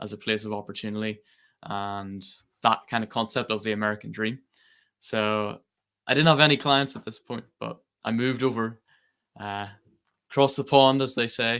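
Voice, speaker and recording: A man speaks with a Northern Irish accent at a moderate pace. His medium-pitched voice has a bright, sharp tone and ordinary pitch variation. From Northern Ireland. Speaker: company president. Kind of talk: webinar presentation.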